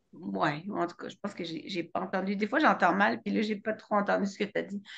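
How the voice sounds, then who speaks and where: Her pitch is medium and her intonation lively, with vocal fry. The woman talks at a fairly quick pace. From France. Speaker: web show host. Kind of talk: casual chat. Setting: video call. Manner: animated.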